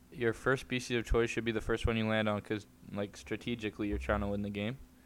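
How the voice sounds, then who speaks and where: A man speaks at a fairly quick pace with fairly even intonation and a fairly low pitch. It is a normal speaking voice. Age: young. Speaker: podcast co-host. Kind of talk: casual chat.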